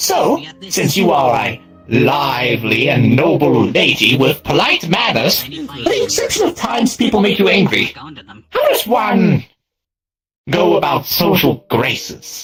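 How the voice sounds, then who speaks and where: Music plays behind a put-on character voice at a middle pitch, moving at a fairly slow pace. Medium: game stream. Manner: flowery, eccentric word choice.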